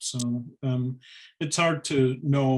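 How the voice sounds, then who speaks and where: Here is a man with an American accent. His pitch is medium. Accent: sounds American to Scots. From Scotland. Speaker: interviewer. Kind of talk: public conversation.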